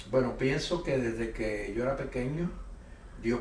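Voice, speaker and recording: A man speaks at a medium pitch. Audible room echo and noticeable background noise surround his voice. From Puerto Rico. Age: 60s. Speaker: pastor and missionary. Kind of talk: interview testimony.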